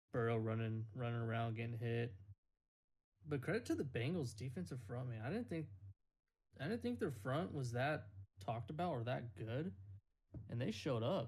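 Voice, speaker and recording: A man with a medium-pitched, somewhat breathy voice speaks in an animated tone at a moderate pace, using ordinary pitch variation and long, frequent pauses. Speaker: podcast host. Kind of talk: casual chat. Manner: joking, animated.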